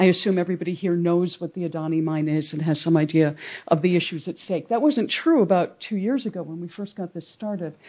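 The speech moves at a very fast pace. There are hardly any pauses. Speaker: academic and co-author. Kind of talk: panel presentation.

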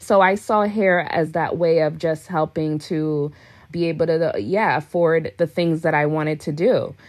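A woman's fairly low voice with ordinary pitch variation, an ordinary speaking voice. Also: fairly slow pace. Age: 30s. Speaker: celebrity hairstylist. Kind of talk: interview.

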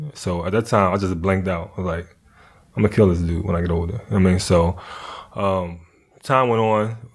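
Delivered at a fairly quick pace with long, frequent pauses, a man's very deep, low voice keeps a fairly even intonation. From Philadelphia. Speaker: former prisoner, documentary subject. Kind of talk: casual interview, life story.

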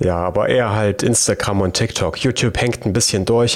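A man with a slight Thuringian accent, fairly even intonation and a moderate pace, over noticeable background noise. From Thuringia, Germany. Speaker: YouTube programming tutor. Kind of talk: casual chat.

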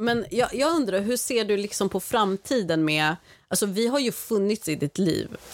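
At a moderate pace, a woman talks with medium pitch, an animated tone, lively intonation and very even loudness, on a very clean recording with a silent background. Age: 30s. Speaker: guest aunt filling in for host. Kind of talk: casual chat.

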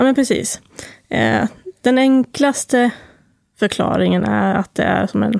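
The sound here is close and dry, without any echo. The speaker is a woman. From Sweden, Timrå (Medelpad, Norrland). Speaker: talk therapist and breathwork guide. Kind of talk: podcast interview.

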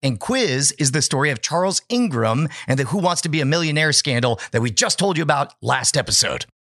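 Lively in intonation and animated, theatrical in tone, a man speaks at a fairly quick pace in a fairly high pitch. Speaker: podcast host and former stage magician. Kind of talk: dramatic storytelling narration, pitched like a Hollywood movie. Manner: animated, theatrical and suspenseful, with a conspiratorial showman's flair.

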